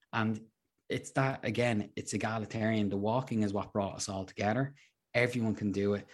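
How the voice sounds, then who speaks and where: A man's fairly low voice at a fairly quick pace, in a very clean recording with a silent background. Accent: Dublin. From Ireland, Dublin. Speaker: hiker and adventurer. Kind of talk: casual interview.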